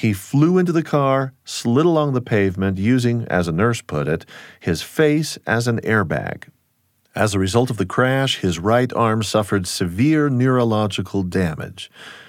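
A man talks in an ordinary speaking voice at medium pitch and a moderate pace. His intonation is lively, and the recording is very clean with a silent background. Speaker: podcast host. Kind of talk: scripted radio narration.

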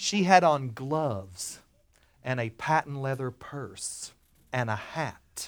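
A man with a South Carolina accent sounds animated, his fairly high, bright, sharp voice carrying lively intonation. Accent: US Southern (South Carolina). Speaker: storyteller. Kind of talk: live personal storytelling performance to an audience, with quoted character dialogue. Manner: animated, comic timing with pauses for laughs; folksy conversational asides to the listeners.

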